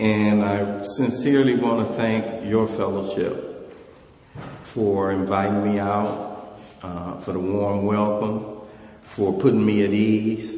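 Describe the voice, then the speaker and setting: A man speaks very slowly in a fairly low, monotone voice with flat intonation. Noticeable background noise and audible room echo fill the recording. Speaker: AA speaker. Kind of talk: recovery talk at convention. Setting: stage with audience. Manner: casual, conversational.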